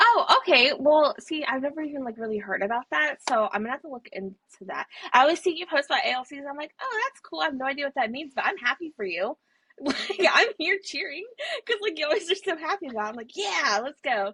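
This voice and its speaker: A woman with a high voice projects loudly at a very fast pace, her pitch swinging very widely and her loudness shifting a lot. The sound is dry and close, with no echo. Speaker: book podcast co-host. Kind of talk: casual chat.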